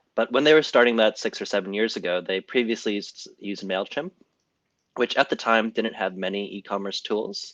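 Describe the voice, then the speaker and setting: A man's plain, everyday voice, fairly low in pitch with ordinary variation, at a fairly quick pace in a dry, close sound with no echo. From Canada. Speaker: marketing manager. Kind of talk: webinar presentation. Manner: casual, many filler ums.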